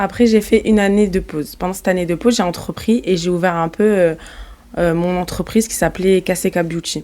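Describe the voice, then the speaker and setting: Speaking at a fairly quick pace, a woman with a slight southern French accent uses fairly even intonation at a medium pitch. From southern France (Marseille, Montpellier, Nîmes). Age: 20s. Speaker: entrepreneur, company CEO. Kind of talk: podcast interview, casual chat. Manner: casual, hesitant with fillers and restarts.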